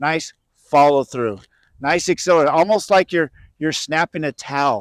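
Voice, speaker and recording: In an ordinary speaking voice, a man with fairly high pitch talks at a moderate pace with ordinary pitch variation, recorded very cleanly against a silent background with a dry, close sound and no echo. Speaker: senior professional disc golfer and coach. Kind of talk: instructional tutorial.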